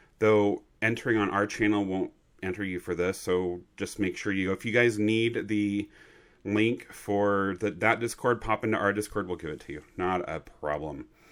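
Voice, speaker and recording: In a very clean recording with a silent background, a man with a plain, everyday voice speaks at fairly low pitch and a moderate pace, his intonation fairly even. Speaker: trading card game shop owner, video host. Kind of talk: casual news update video.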